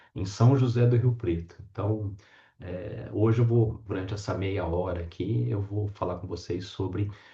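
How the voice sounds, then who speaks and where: A man with a São Paulo interior accent speaks at a fairly slow pace, his dark, mellow tone somewhat breathy and his pitch varying in an ordinary way. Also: fairly low pitch for a man. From interior of São Paulo state, Brazil. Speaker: professor. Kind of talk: lecture.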